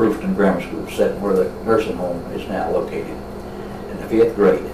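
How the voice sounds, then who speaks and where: A man with a West Tennessee accent, fairly low-pitched and monotone, flat in intonation, amid audible room echo and noticeable background noise. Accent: Southern US (West Tennessee). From West Tennessee (Martin, Bruceton). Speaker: local elder interviewed on town history. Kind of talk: oral history interview. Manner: halting.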